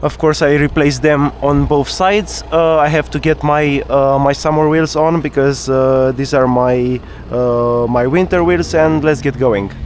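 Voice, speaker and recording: A man with a non-native accent, fairly even intonation, a fairly slow pace and hardly any pauses, against noticeable background noise. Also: fairly high pitch for a man, very even loudness. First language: not English. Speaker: car vlogger. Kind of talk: casual driving vlog monologue. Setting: in a car, night drive. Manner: halting, many filler uhs and repetitions.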